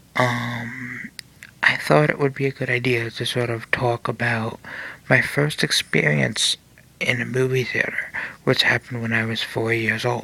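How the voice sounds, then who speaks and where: A man's fairly slow speech comes through with noticeable noise in the background. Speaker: podcast host. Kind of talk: solo podcast monologue. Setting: home recording late at night. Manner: soft-spoken.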